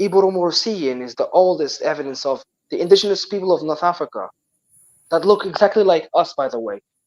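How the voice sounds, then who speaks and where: With a Moroccan accent, a man talks at a fairly quick pace in a high voice, his loudness swinging widely. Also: ordinary pitch variation. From Morocco. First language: Berber (Amazigh). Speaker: guest from Morocco. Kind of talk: casual interview chat. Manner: halting, repeated words; animated.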